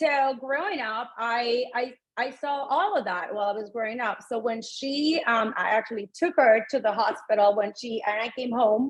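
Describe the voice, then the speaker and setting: Using a plain, everyday voice, a woman talks at a moderate pace and fairly high pitch with ordinary pitch variation and hardly any pauses. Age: 50s. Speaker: fitness coach. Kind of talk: interview.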